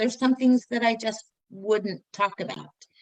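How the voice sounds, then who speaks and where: A woman speaks in a plain, everyday voice with an American accent. Her pitch is fairly high and her pace fairly slow. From Northern Utah. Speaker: interview guest. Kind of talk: personal testimony in interview.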